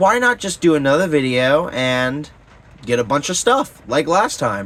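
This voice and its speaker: This man takes a fairly slow pace, and his pitch varies in an ordinary way. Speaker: toy reviewer youtuber. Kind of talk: casual review video. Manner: loud; casual, filler-heavy.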